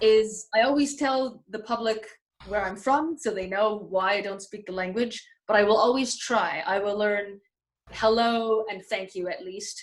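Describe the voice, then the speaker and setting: This woman has an ordinary speaking voice with ordinary pitch variation and a fairly slow pace. Her loudness swings in big ways. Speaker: magician. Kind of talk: interview.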